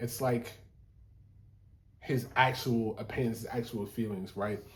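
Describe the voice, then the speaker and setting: A man speaks at medium pitch in a monotone, flat delivery. His voice is somewhat breathy and his pace fairly slow. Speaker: musician explaining his own song. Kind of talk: casual video talk, breaking down a song. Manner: casual with many fillers.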